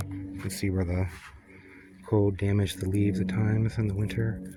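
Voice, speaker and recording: Soft-spoken man with a fairly low pitch, monotone, flat intonation and a moderate pace, music in the background. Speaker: home gardener. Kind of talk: casual gardening talk to camera. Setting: outdoors.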